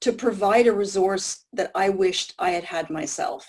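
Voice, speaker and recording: At a moderate pace, a woman with an American accent speaks in a medium pitch with fairly even intonation. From US Northeast, Maine. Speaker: smell loss patient advocate. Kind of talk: panel talk. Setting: video call. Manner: halting.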